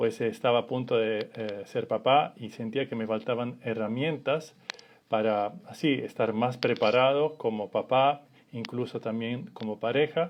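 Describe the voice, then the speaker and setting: A man talks in an Italian accent at a fairly slow pace. His intonation stays fairly even. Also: medium pitch for a man. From Italy. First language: Italian (speaking Spanish). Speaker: family constellations facilitator. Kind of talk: live stream talk. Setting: Instagram live. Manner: halting.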